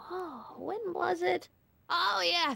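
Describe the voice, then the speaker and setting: A woman speaks in a put-on character voice. Her delivery is very slow, with faint music in the background. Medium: machinima. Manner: fussy, moralizing, scolding.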